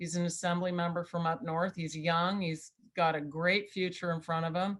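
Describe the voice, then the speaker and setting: A woman's fairly low-pitched voice with monotone, flat intonation. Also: moderate pace. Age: 60s. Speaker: political campaign manager. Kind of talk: interview.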